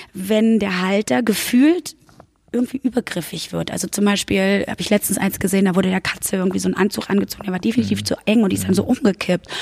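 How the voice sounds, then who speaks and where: Speaking at a fairly quick pace and medium pitch, a woman shows vocal fry in a dry, close sound with no echo. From Berlin-Brandenburg. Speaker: podcast host. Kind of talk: interview.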